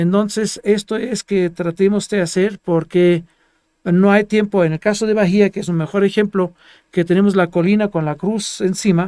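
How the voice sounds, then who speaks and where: A man speaks in a high pitch at a moderate pace, his tone dark and mellow with monotone, flat intonation. The sound is dry and close, with no echo. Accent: non-native. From Germany, Greek family. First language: Greek or German (speaking Spanish). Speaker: geologist. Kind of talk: interview. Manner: halting.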